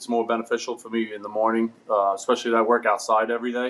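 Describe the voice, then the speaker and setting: In a New York accent, a man talks at a medium pitch. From New York, Brooklyn. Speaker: ironworker. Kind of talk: casual chat. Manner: halting.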